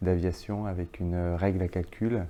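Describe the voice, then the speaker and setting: A man's very deep, low voice, dark and mellow, with monotone, flat intonation. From France, Franche-Comté. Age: 40s. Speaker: business executive. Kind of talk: interview. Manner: hesitant, many filler sounds.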